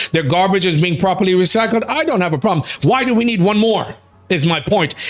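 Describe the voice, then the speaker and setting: Speaking with an American accent, a man uses a high pitch, lively intonation, and an animated tone at a fairly quick pace. Noticeable background noise runs underneath. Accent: American accent, noticeable at times. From United States. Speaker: talk show host. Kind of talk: casual chat.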